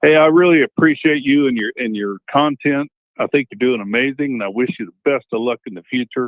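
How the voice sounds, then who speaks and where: A man with an ordinary speaking voice, at a fairly quick pace with ordinary pitch variation. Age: 60s. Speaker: truck driver caller. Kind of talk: call-in question.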